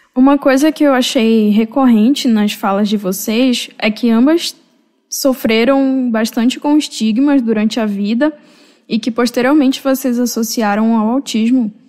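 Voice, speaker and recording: A woman speaks at a fairly slow pace with a high pitch and a dark, mellow tone. Her loudness stays very even, and her intonation is fairly even. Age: 20s. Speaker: podcast co-host, graduate student. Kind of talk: interview moderation.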